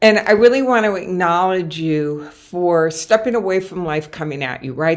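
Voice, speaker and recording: Speaking at a moderate pace, a woman uses a normal speaking voice, fairly low in pitch with ordinary pitch variation. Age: 60s. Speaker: motivational speaker and coach. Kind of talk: webinar presentation. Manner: frequent fillers.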